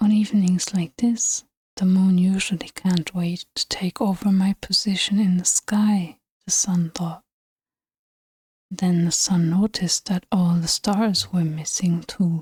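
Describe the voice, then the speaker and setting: The speaker talks at a fairly slow pace. The voice is soft-spoken. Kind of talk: ASMR bedtime story reading.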